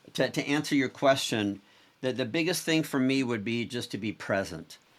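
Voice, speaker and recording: In an ordinary speaking voice, a man with a medium pitch speaks at a moderate pace with lively intonation on a very clean recording with a silent background. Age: 60s. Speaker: entrepreneur and author. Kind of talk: interview conversation.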